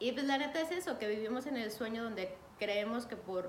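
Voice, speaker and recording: With a Mexican accent, a woman speaks at a moderate pace and a fairly high pitch with ordinary pitch variation, amid noticeable background noise and audible room echo. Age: 30s. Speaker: podcast host. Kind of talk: casual monologue.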